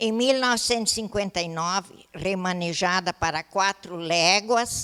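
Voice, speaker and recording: Bright and sharp in tone, a woman speaks fairly slowly in a dry, close sound with no echo. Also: medium pitch for a woman, ordinary pitch variation. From southern Brazil, Rio Grande do Sul (Taquari valley). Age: 80s+. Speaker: retired teacher. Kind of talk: testimony. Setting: council chamber ceremony. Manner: halting.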